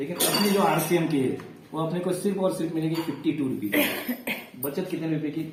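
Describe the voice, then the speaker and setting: A man with a fairly high pitch speaks at a moderate pace amid noticeable background noise and audible room echo. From Maharashtra, India. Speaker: direct-selling business promoter. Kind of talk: sales pitch.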